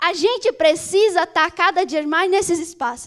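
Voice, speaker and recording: With lively intonation, a woman speaks at an extremely high pitch. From Brazil, Manaus, Amazonas. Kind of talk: speech to live audience.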